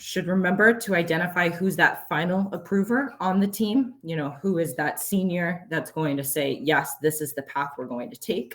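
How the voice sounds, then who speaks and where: Lively intonation with a somewhat breathy quality. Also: woman. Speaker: conference presenter. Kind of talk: conference presentation. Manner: fast.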